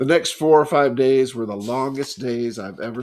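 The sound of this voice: The clip features an unforced reading voice.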